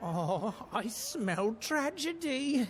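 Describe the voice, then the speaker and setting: The voice is a put-on character voice with fairly high pitch. Clear background noise runs underneath. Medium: video game. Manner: theatrical, hesitant.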